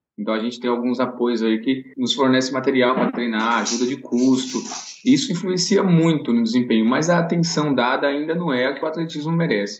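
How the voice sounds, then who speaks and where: A man talks with lively intonation at a medium pitch. It is a plain, everyday voice. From Bahia, Brazil (Vitória da Conquista). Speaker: elite runner and running coach. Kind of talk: casual interview.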